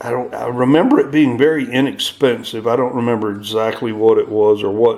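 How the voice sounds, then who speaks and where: Medium-pitched male voice with hardly any pauses, over noticeable background noise. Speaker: silver stacker. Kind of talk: casual talk to camera. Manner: hesitant, many fillers.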